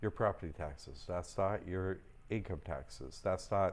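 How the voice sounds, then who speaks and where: The pace is fairly slow as a man speaks. The background is quiet. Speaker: livestream host teaching trust courses. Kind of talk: live stream Q&A. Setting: live stream. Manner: casual, rambling delivery with fillers; loud.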